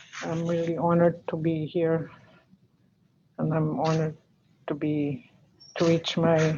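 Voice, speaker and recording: At a fairly slow pace with long, frequent pauses, a woman speaks at a fairly low pitch in a monotone, flat intonation. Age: 60s. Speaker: elder, family member. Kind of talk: press conference remarks. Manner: halting.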